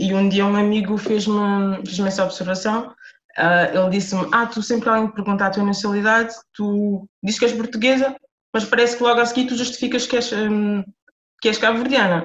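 Speaking at a fairly quick pace, a woman has an unremarkable speaking voice with a fairly high pitch and fairly even intonation. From Portugal, Lisbon (Amadora). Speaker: author. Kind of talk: interview.

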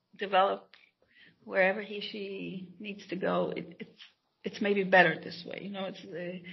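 A woman speaks at a moderate pace and medium pitch. Vocal fry colors her voice.

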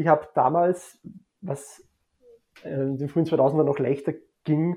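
This man has a fairly high pitch and a dark, mellow tone that is somewhat breathy. His intonation stays fairly even against a quiet background. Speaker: sports blogger. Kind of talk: casual chat.

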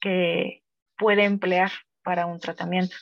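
A woman speaks at medium pitch and a fairly slow pace, her intonation monotone and flat. The sound is dry and close, with no echo. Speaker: psychologist. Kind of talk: casual chat. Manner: stumbles over words.

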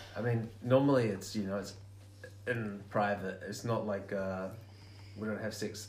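A man with a New Zealand accent, fairly low in pitch and somewhat breathy, at a fairly slow pace with long, frequent pauses, monotone, flat intonation, and audible room echo. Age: 20s. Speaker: podcast guest. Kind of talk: casual chat.

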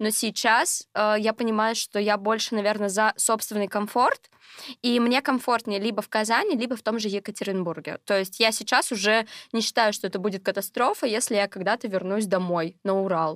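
In a very clean recording with a silent background and a dry, close sound with no echo, a woman with a normal speaking voice talks at a moderate pace, her pitch fairly high with ordinary pitch variation. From Russia, Sverdlovsk Oblast. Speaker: geography tutor, student. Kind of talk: casual chat.

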